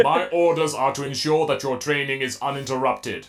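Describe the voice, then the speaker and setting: A man puts on a robotic character voice at medium pitch, talking at a fairly quick pace. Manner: flat, authoritative.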